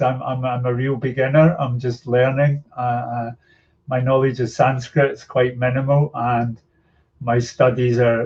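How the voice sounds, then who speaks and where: A man with a Scottish accent talks at a moderate pace in a medium-pitched, somewhat breathy voice with monotone, flat intonation. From Scotland. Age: 60s. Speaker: yoga teacher and activist. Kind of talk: podcast interview.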